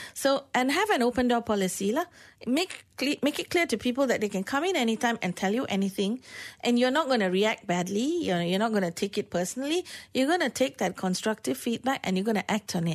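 Speaking in a Malaysian accent against a quiet background, a woman uses a fairly high pitch, very wide pitch swings, and a fairly quick pace. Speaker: workplace consultant. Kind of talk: radio interview. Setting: radio studio.

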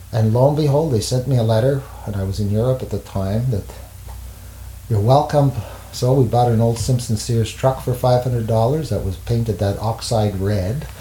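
Speaking at a moderate pace, a man uses a medium pitch with ordinary pitch variation. Noticeable background noise runs under his voice. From Montreal, Quebec. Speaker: jazz saxophonist and teacher. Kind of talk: interview. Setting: at home. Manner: halting.

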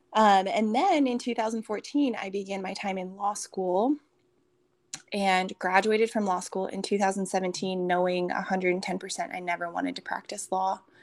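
A woman talks at a fairly slow pace in a normal speaking voice, her pitch medium. She has an American accent and fairly even intonation. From Minnesota. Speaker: fitness coach and retreat speaker. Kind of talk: casual interview with faith testimony.

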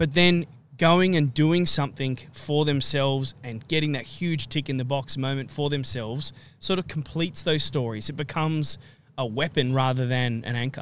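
With an Australian accent, a man speaks at a fairly high pitch. His pace is moderate and his pitch variation ordinary. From Australia, Central Coast NSW. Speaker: podcast co-host. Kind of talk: casual chat.

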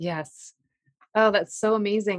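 A woman's plain, everyday voice at medium pitch with ordinary pitch variation, in a dry, close sound with no echo. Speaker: podcast host. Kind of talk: interview conversation. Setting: recorded over a poor connection.

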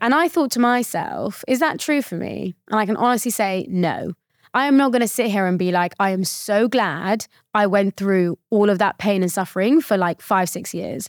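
With a British accent, a woman talks at medium pitch and moderate pace with lively intonation, the sound dry and close with no echo. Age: 20s. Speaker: mental fitness coach and founder. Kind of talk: casual interview chat.

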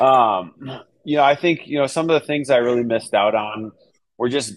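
With an American accent, a man speaks at a fairly slow pace in a normal speaking voice. His pitch is medium, with ordinary variation. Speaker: real estate agent. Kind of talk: casual interview.

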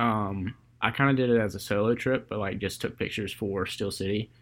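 Here is an ordinary speaking voice from a man at a fairly quick pace. His pitch varies in an ordinary way, on a very clean recording with a silent background. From US South, Georgia (Columbus). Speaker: podcast host, photographer. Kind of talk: casual chat.

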